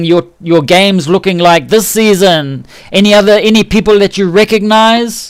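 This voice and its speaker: Speaking in a New Zealand accent, a man with a high pitch keeps a moderate pace, very even loudness and ordinary pitch variation. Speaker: game livestreamer. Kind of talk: casual livestream commentary. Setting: microphone too close, buzzy. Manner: relaxed, chatty.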